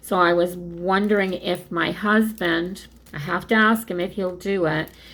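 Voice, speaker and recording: A woman with a normal speaking voice talks at a fairly slow pace in a medium pitch with fairly even intonation. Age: 60s. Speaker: craft video creator. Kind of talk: casual chat. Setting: home craft room.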